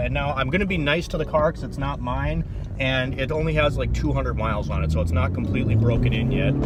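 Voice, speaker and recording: A man talks fairly quickly, his voice carrying audible room echo against noticeable background noise. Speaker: car YouTuber. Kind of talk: casual vlog commentary. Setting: outdoors at a bridge and driving in a car. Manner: casual, enthusiastic.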